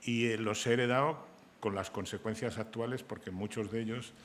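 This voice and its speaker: With a normal speaking voice, a man talks at a fairly quick pace, his pitch fairly low and his intonation fairly even. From Spain, Santander (Cantabria). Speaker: novelist and journalist. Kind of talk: panel discussion.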